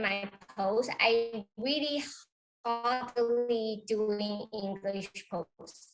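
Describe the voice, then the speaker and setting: At a very slow pace, a woman speaks in a high voice with a Taiwanese accent. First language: Chinese. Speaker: real estate agent. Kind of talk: interview.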